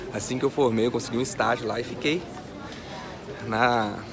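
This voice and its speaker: In a Minas Gerais accent, a man speaks at a moderate pace with monotone, flat intonation, amid audible room echo and noticeable background noise. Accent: mineiro. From Minas Gerais, Brazil (Vale do Aço). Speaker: online finance educator. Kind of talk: personal story vlog. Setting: airport VIP lounge. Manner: casual, conversational.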